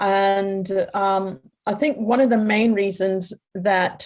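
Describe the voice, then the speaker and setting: A woman speaks at a medium pitch in a plain, everyday voice, her intonation fairly even. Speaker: psychotherapist and workshop facilitator. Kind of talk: panel discussion.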